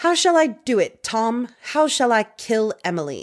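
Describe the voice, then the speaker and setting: A put-on character voice in a British accent goes at a moderate pace, recorded very cleanly against a silent background. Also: female-sounding voice. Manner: wicked, theatrical.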